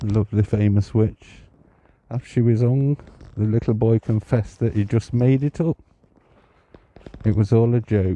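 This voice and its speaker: A quiet man's voice at medium pitch, moderate pace, fairly even intonation and very even loudness, with long, frequent pauses and a dry, close sound with no echo. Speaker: psychic medium and ghost walk guide. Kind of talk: live-streamed ghost walk narration. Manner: hushed, kept quiet.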